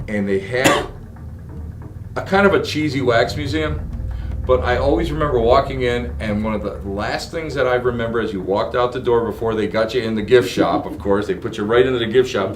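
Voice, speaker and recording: Music plays in the background as a man speaks at a fairly quick pace with lively intonation, and room echo is audible. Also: medium pitch for a man. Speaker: podcast host. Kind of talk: casual interview. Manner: stuttering, excited.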